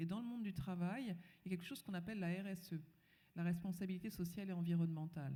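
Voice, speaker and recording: This woman talks at a very fast pace in a fairly low pitch. Her tone is dark and mellow, and somewhat breathy. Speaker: panelist. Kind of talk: panel discussion.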